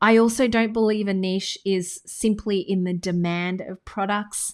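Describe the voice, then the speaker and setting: A woman speaks at a medium pitch with an Australian accent and fairly even intonation. The recording is very clean, with a silent background. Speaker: business coach. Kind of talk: tutorial. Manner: casual.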